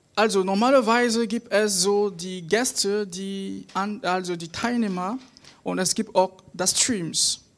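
At a very slow pace, a woman speaks at medium pitch with fairly even intonation and big swings in loudness. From Cameroon. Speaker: student, lay preacher. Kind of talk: sermon. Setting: church service on stage. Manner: halting.

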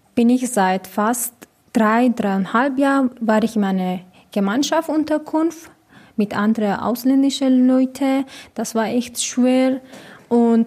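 A woman with a Persian accent, fairly high in pitch, at a very slow pace with long, frequent pauses, very even loudness and ordinary pitch variation. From Iran. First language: Persian (speaking German). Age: 20s. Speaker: hostel resident. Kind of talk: interview. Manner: halting.

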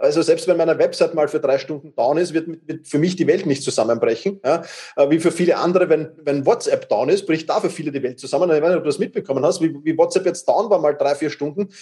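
A man speaks very fast at a high pitch, his tone dark and mellow, with ordinary pitch variation. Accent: Viennese. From Vienna, Austria. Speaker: time management coach. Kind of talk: interview. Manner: repeats words, stammering starts.

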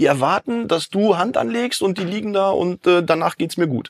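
The pace is moderate, with ordinary pitch variation. The recording is very clean, with a silent background and a dry, close sound with no echo. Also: man. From Dortmund, Ruhr area, Germany. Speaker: health consultant, sports scientist. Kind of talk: podcast interview.

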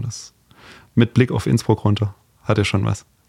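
This man's delivery is fairly quick. There is a somewhat breathy quality to it. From Heidenheim, Swabia. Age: 30s. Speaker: fencer. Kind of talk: casual chat.

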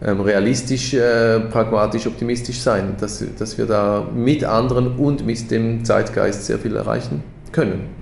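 Noticeable background noise and audible room echo around fairly even intonation. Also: man. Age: 40s. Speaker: education co-founder. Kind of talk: casual interview. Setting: in person at office. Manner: halting, many fillers.

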